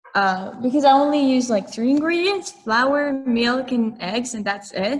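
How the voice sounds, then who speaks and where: Over noticeable background noise, a woman speaks at a fairly slow pace with a high pitch and lively intonation. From France. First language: French. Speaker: college student. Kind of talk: casual interview chat. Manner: hesitant, many fillers.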